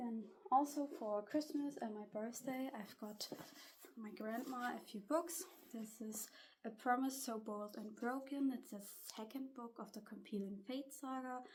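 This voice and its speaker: A woman with a German accent speaks at a high pitch and a fairly slow pace, with ordinary pitch variation and big swings in loudness. Noticeable background noise is present. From Germany. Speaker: booktuber and student vlogger. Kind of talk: casual vlog talk. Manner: slightly halting.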